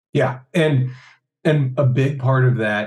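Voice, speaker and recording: A man with a dark, mellow, somewhat breathy voice. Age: 40s. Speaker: hypnotist and convention organizer. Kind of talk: casual chat.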